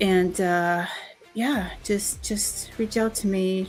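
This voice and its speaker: A woman with a strong Boston accent. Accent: Boston, pronounced. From Boston, US. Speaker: voice actor and livestream host. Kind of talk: casual livestream chat.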